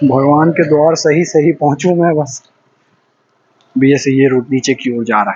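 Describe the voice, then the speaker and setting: In a Bihar accent, a man talks with fairly even intonation. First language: Maithili (speaking Hindi). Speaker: travel vlogger. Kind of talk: walking vlog monologue. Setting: outdoors, walking on a deserted road at night.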